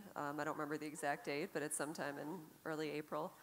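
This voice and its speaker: Speaking at a very fast pace, a woman uses a very deep, low pitch. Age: 40s. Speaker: jazz guitarist; panelist. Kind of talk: panel discussion. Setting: stage with audience. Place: stage. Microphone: handheld.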